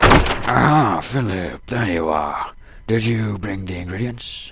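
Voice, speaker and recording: A man puts on a character voice, fairly low in pitch and delivered at a fairly slow pace. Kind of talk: audio drama dialogue. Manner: pompous.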